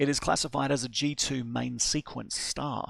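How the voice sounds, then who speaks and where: A man speaks with an Australian accent. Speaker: astronomer. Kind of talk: lecture.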